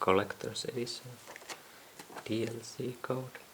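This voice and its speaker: Soft-spoken and fairly slow, a woman talks against noticeable background noise. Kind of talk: unboxing video.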